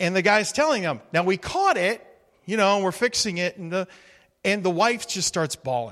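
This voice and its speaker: A man speaks at a moderate pace with a high pitch. His tone is bright and sharp, and his intonation is lively. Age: 50s. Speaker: guest preacher. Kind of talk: sermon.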